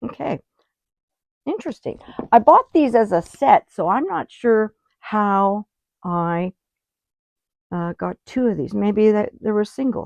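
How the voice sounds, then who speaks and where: Mumbled, fairly slow speech with lively intonation and long, frequent pauses, in a dry, close sound with no echo. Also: woman, fairly high pitch for a woman. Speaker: art teacher. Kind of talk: tutorial. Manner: casual, thinking aloud; mumbling.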